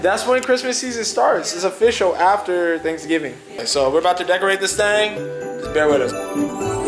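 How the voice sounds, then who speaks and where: Lively intonation at a moderate pace, with clear music in the background. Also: man, high pitch for a man. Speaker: vlogger. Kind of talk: casual talk to camera, vlog. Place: home room. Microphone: phone near.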